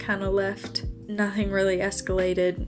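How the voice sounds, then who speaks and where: A woman talks at a moderate pace as music plays in the background. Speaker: college student. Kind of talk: storytime voice-over. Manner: casual, conversational.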